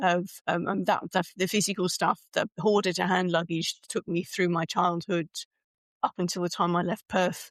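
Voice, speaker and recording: With a British accent, a woman of fairly low pitch talks at a moderate pace in a dry, close sound with no echo. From UK. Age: 60s. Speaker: speaker coach and author. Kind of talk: podcast interview.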